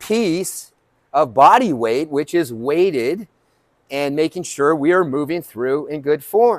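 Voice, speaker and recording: The man talks at a fairly slow pace. The sound is dry with no echo, and the background is quiet. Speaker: fitness coach. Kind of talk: sermon-like fitness talk. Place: gym.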